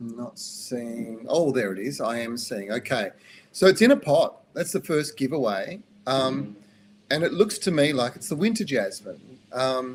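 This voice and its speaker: With an Australian accent, a man speaks at a fairly slow pace, his pitch swinging very widely and his loudness shifting in big swings. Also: medium pitch for a man. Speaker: gardening expert answering viewer questions. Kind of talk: live Q&A show. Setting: live stream. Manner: casual, conversational with hesitations.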